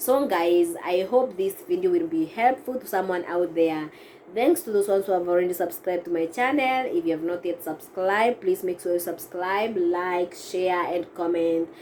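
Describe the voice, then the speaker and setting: Against noticeable background noise, a woman of medium pitch talks at a moderate pace with hardly any pauses and ordinary pitch variation. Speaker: vlogger. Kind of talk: casual vlog advice. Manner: halting, with self-corrections.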